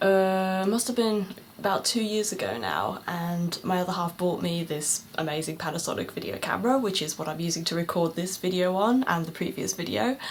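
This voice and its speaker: A woman's fairly low-pitched voice at a fairly quick pace, hardly any pauses, over noticeable background noise. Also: ordinary pitch variation. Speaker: beauty vlogger. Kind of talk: casual vlog monologue. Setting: home, at night, filming on camera. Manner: hesitant, many filler words; quiet, soft-spoken.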